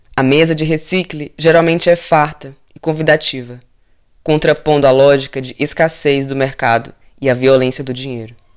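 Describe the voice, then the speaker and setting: Fairly high in pitch, a man has an ordinary speaking voice. His pace is moderate and his intonation fairly even. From Ceará, Brazil. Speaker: radio host, cook and artist. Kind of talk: reading aloud.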